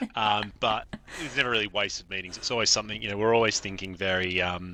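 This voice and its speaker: Talking at a very fast pace, a man with a bright, sharp tone keeps a fairly low pitch and fairly even intonation. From Australia. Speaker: event director. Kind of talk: podcast interview. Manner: hesitant, many fillers and restarts.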